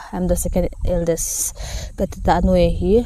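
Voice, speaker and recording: Here a woman speaks with a non-native accent. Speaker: vlogger and nurse. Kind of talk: casual Q&A vlog. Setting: outdoors in a paddy field. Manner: halting, many fillers.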